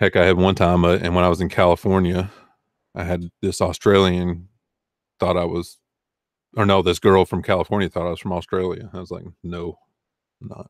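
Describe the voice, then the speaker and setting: A man with a slight Southern US accent talks at a fairly quick pace in a very deep, low, monotone voice, with long, frequent pauses and big swings in loudness. The recording is very clean, with a silent background and a dry, close sound with no echo. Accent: Southern US accent, mild. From US South, Arkansas. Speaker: online reseller and video host. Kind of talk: casual livestream chat. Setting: live stream with chat.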